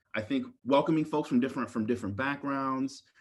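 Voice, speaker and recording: A man with an American accent and an unremarkable speaking voice talks at a fairly quick pace and medium pitch against a quiet background. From Maryland, US. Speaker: university diversity dean. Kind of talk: interview.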